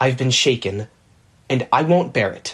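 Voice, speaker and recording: In a growling put-on character voice, a man talks at a moderate pace and a medium pitch. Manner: growling, indignant.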